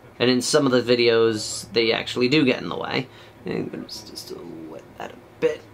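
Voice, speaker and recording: A man at a medium pitch, fairly quick and with ordinary pitch variation, his loudness swinging widely, amid noticeable background noise. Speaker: miniature painting youtuber. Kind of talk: tutorial. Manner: halting.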